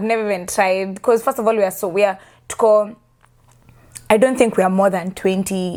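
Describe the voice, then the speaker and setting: At a fairly quick pace, a woman with a slight Kenyan accent speaks at medium pitch with fairly even intonation, in a very clean recording with a silent background. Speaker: immigrant interviewee, customer service worker. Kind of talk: casual chat.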